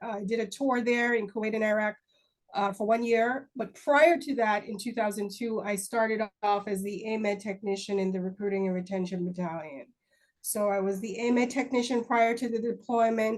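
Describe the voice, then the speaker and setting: With a Jamaican accent, a woman talks at a fairly high pitch. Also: ordinary pitch variation, moderate pace. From Jamaica (Kingston). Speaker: army recruiting first sergeant. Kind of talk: interview.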